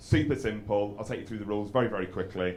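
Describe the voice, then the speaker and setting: A man with an English accent speaks at a fairly low pitch with fairly even intonation, and room echo is audible. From England. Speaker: stand-up comedian. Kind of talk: stand-up. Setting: stage with audience. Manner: halting.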